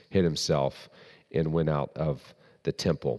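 Speaking with a Southern US accent, a man has a very deep, low pitch. He keeps a moderate pace and fairly even intonation. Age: 30s. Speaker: pastor. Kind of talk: doctrinal teaching sermon. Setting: church service with congregation.

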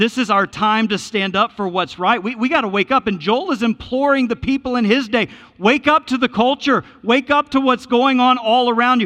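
Raised and projected, a man's extremely high voice carries a bright, sharp tone at a fairly quick pace. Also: ordinary pitch variation. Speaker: pastor. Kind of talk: sermon. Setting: church. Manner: fast.

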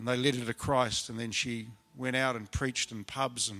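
This man's voice sits at a medium pitch. His tone is bright and sharp. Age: 60s. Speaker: preacher. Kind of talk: sermon. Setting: church. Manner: halting.

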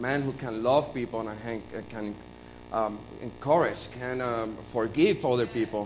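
A man speaks fairly slowly with a Puerto Rican accent, and audible room echo surrounds his voice. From Puerto Rico. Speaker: church member sharing testimony. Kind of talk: testimony. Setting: church with congregation. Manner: halting.

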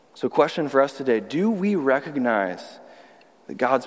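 A man talks at a moderate pace in a normal speaking voice. His pitch is medium, with lively intonation. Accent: American. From Texas (Austin). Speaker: youth pastor, guest preacher. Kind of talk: sermon. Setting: church service.

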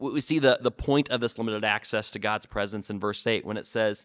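A man with an ordinary speaking voice and medium pitch uses ordinary pitch variation. The sound is dry and close with no echo, on a very clean recording with a silent background. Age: 30s. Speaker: student ministry pastor. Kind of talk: short sermon. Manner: repetitive, with frequent fillers.

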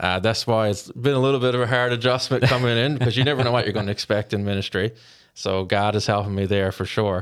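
Speaking at a very fast pace, a man with a Newfoundland accent talks at a medium pitch. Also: fairly even intonation, very clean recording, silent background. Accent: Newfoundland (Bayman). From rural Newfoundland, Canada. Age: 30s. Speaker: intern. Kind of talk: interview.

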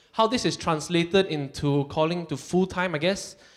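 The pace is moderate, in an ordinary speaking voice. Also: man. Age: 30s. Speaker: church worker. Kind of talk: testimony.

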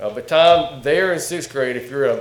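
A man speaks in a Southern US accent. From North Carolina. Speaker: guest preacher and ministry director. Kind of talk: sermon. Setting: church.

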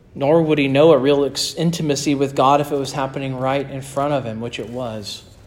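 A man talks at a fairly high pitch with fairly even intonation. Audible room echo surrounds his voice. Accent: American. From northern US. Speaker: pastor. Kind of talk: sermon.

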